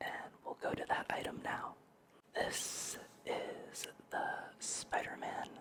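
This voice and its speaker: A man whispers over noticeable background noise. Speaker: gaming and ASMR YouTuber. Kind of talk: ASMR talk to camera, relaxed sleep-aid narration.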